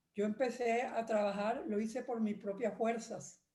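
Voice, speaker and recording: A woman's fairly high, somewhat breathy voice with a dark, mellow tone, at a fairly slow pace, with audible room echo. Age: 80s+. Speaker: retired lawyer, church member. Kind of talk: testimony.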